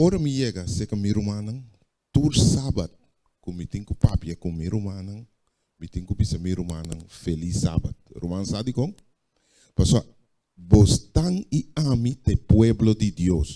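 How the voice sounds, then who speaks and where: With music in the background, a man with a Curaçaoan accent talks with big swings in loudness. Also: fairly low pitch for a man, fairly slow pace. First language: Papiamento (speaking Spanish). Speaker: preacher. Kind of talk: sermon.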